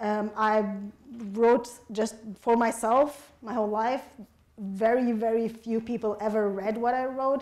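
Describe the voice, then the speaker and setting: Against noticeable background noise, a woman with a fairly high pitch talks fairly slowly in a flat monotone, leaving long, frequent pauses. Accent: Arabic. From Egypt, Alexandria. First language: Arabic. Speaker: novelist. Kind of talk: audience Q&A at a book event. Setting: public forum with audience.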